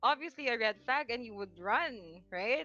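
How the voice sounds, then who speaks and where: With a bright, sharp tone, this woman projects her raised voice. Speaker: anonymous podcast guest. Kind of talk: personal storytelling on a casual podcast. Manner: halting, many self-corrections; nervous laughter while telling a sad story.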